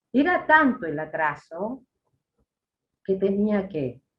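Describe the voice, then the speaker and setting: With a Uruguayan accent, a woman speaks at medium pitch with very wide pitch swings. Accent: Uruguayan Spanish (rioplatense). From Uruguay, Treinta y Tres. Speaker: former political prisoner. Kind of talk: interview testimony.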